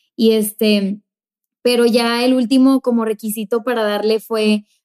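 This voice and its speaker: A woman speaks in a dark, mellow tone with fairly even intonation. The sound is dry and close, with no echo. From Mexico, Monterrey. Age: 20s. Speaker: youth pastor, podcast co-host. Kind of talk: casual chat. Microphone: new microphone.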